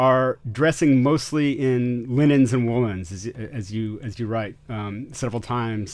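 A man speaks with an American accent in a normal speaking voice, his intonation lively against a quiet background. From US, Austin, Texas. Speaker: podcast host. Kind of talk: interview.

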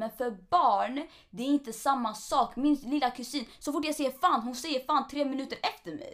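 A woman speaks at a moderate pace in a high voice. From Eritrea, moved to Sweden at five. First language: Tigrinya (speaking Swedish). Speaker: podcast co-host. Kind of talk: casual chat.

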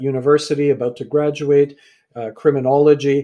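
A man uses an ordinary speaking voice with a Canadian accent, fairly high in pitch and at a fairly quick pace. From Canada. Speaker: author and speaker.

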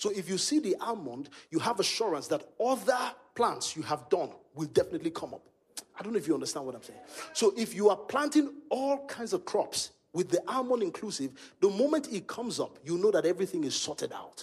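In a Nigerian accent, a man speaks fairly quickly in a high, animated voice with very wide pitch swings and big swings in loudness. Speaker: pastor. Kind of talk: sermon. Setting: stage with audience.

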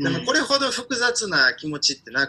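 A man speaks in a raised, projected voice with very wide pitch swings. Noticeable background noise is present. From Ukraine, with primary and middle school in Osaka. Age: 30s. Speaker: Ukrainian commentator. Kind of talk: interview. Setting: pre-recorded remote interview. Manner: animated.

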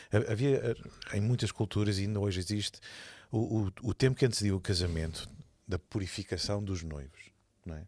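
A man with a European Portuguese accent speaks at a moderate pace and fairly low pitch, with ordinary pitch variation, long, frequent pauses and big swings in loudness. The sound is dry and close with no echo, on a very clean recording with a silent background. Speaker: church leader. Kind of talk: casual chat.

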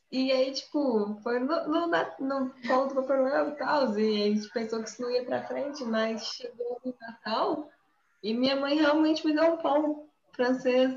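A high-pitched woman at a fairly slow pace, with ordinary pitch variation. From inland Brazil. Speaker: podcast co-host. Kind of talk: casual chat.

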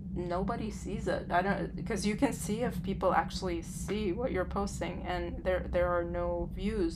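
A woman talks at a moderate pace with hardly any pauses against noticeable background noise. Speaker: podcast co-host. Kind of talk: casual conversation.

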